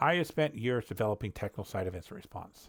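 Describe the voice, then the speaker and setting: On a very clean recording with a silent background, a man talks fairly quickly at medium pitch with ordinary pitch variation. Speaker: cybersecurity incident response lead. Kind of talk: solo educational walkthrough. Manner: fast; halting, searches for words. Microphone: new headset.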